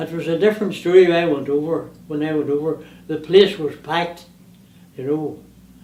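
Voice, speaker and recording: Audible room echo surrounds a man speaking at a fairly quick pace, his tone dark and mellow and his intonation fairly even. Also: fairly high pitch for a man. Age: 80s+. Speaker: museum collector, retired power boat racer. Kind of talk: casual interview.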